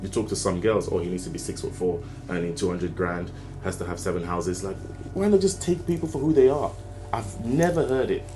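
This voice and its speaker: A man speaks very fast at a fairly low pitch, his voice swinging very widely up and down, with audible room echo around him. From Nigeria. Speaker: self-improvement YouTuber. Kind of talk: opinion monologue. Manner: animated, rhetorical.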